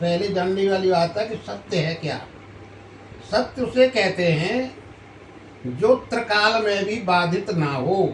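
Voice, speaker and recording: Pitched high, a man's voice comes through noticeable background noise. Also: ordinary pitch variation. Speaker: grandfather sharing spiritual wisdom. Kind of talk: teaching explanation to a grandchild.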